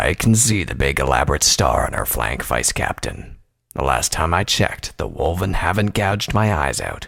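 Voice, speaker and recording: A man's put-on character voice, growling and gruff, very deep and low in pitch, at a moderate pace. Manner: gruff, bear-like.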